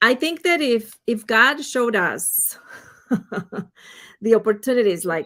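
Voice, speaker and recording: In a very clean recording with a silent background, a woman with a Spanish accent speaks fairly slowly in a bright, sharp tone, at a fairly high pitch, with lively intonation and long, frequent pauses. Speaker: financial advisor. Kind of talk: interview.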